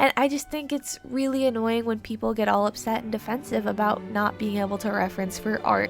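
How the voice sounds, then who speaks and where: A woman talks at a fairly quick pace with hardly any pauses. Music plays in the background. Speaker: artist. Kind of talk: casual talk to camera, art advice.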